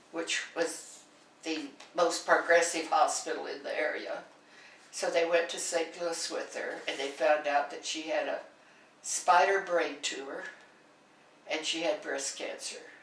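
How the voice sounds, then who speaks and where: A woman with an American accent talks at a fairly slow pace, with long, frequent pauses and big swings in loudness, amid audible room echo and noticeable background noise. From central Kansas, US. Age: 80s+. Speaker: oral history interviewee. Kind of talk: oral history interview. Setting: in-person interview.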